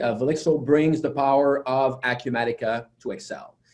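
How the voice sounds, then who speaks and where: In a French Canadian accent, a man speaks with a dark, mellow tone and ordinary pitch variation. Room echo is audible. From Quebec. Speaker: software company founder and conference presenter. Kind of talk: technical conference presentation. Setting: virtual webinar. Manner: hesitant with many fillers.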